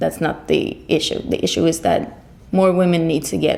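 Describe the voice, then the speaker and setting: The speaker talks at a fairly quick pace with a Swedish accent. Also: woman. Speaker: singer. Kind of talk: interview. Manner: halting.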